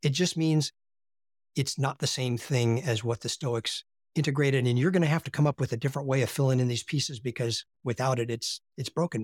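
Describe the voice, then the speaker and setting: A somewhat breathy man with an American accent speaks at a medium pitch and fairly quick pace with ordinary pitch variation, in a dry, close recording with no echo, very clean with a silent background. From US, Appalachia. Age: 60s. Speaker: philosophy teacher. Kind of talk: interview conversation.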